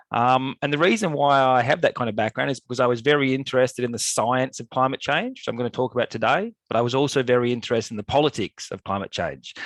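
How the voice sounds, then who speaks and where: Speaking at a very fast pace with hardly any pauses, a man with an Australian accent uses ordinary pitch variation in a dry, close sound with no echo. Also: medium pitch for a man, quiet background. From Australia, Melbourne. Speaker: climate scientist. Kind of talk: lecture. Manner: hesitant fillers.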